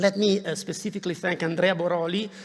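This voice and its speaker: A man talks in a monotone, flat intonation against noticeable background noise. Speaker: university professor. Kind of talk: formal welcome speech. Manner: halting, many fillers.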